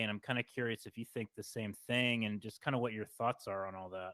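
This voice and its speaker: A man with an American accent talks at a fairly quick pace in an unremarkable speaking voice with ordinary pitch variation. The sound is dry and close with no echo, on a very clean recording with a silent background. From West Virginia, Parkersburg. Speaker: podcast host. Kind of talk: interview.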